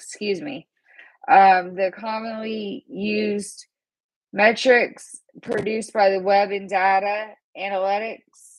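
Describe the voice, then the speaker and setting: The pace is very slow. Intonation stays fairly even throughout. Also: woman, medium pitch for a woman. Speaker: graduate student. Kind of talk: class presentation. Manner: halting, many fillers.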